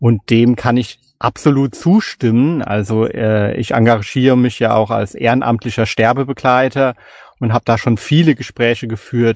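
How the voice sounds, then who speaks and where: Against a quiet background, a man talks at a moderate pace and medium pitch with fairly even intonation, the sound dry and close with no echo. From Palatinate, Germany (Kaiserslautern). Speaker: podcaster and novelist. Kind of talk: casual chat.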